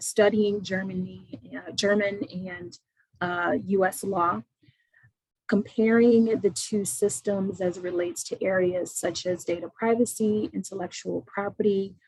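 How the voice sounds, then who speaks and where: A somewhat breathy woman with an American accent. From Indiana, US Midwest. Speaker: attorney. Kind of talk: webinar self-introduction.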